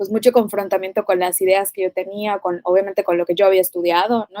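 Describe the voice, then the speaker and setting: A woman's medium-pitched, dark, mellow voice at a fairly quick pace, monotone and flat, in a dry, close sound with no echo. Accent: Yucatecan. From Mérida, Yucatán, Mexico. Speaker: physician and nutritionist. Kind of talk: podcast interview.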